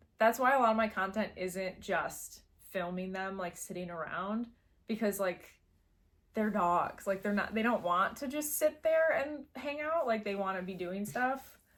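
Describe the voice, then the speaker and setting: With a Midwestern accent, a woman speaks at a medium pitch. Her pace is moderate and her intonation lively. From US Midwest. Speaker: pet content creator. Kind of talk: casual chat.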